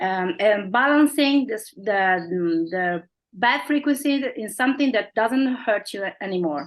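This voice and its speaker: A woman with an Italian accent and lively intonation. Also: fairly high pitch for a woman, fairly slow pace. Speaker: company representative. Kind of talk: interview. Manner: halting.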